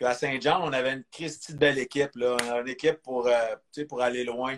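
The man's voice sits fairly high. He speaks at a fairly quick pace. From Quebec. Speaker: former pro hockey player. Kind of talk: interview. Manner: halting.

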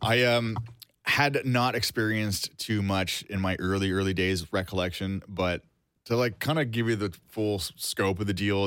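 A man with a Cape Breton accent speaks at a fairly low pitch and with fairly even intonation, on a very clean recording with a silent background. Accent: Cape Breton Canadian. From Canada, Cape Breton, Nova Scotia. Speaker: podcast host. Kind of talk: casual chat.

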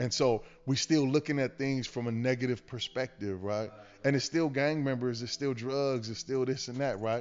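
At a moderate pace and medium pitch, a man talks in an ordinary speaking voice with fairly even intonation. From Los Angeles, West LA. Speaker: community worker, formerly incarcerated. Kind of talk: casual interview chat.

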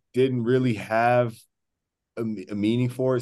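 In an unremarkable speaking voice, a man talks at a moderate pace and medium pitch with fairly even intonation over a quiet background. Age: 20s. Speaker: basketball podcast host. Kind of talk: casual chat.

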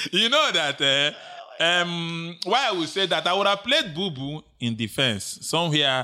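With a Nigerian accent, a man speaks in an animated tone with lively intonation. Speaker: co-host and sports pundit. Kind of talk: casual banter about football.

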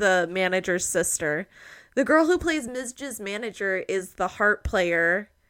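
A woman is speaking. Her intonation is lively. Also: very clean recording, silent background. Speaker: podcast host. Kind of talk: casual chat. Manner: casual, joking.

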